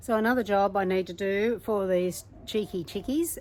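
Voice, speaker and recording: With an Australian accent, a woman speaks at a medium pitch and a moderate pace, her pitch varying in an ordinary way. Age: 70s. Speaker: gardening vlogger. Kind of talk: casual vlog narration.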